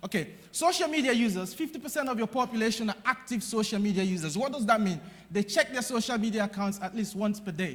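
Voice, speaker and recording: A man talks at a fairly quick pace in an energetic tone. His pitch is high and his intonation lively. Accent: Nigerian. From Nigeria. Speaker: conference speaker on digital strategy. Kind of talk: conference keynote speech. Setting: stage with audience. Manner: loud, energetic.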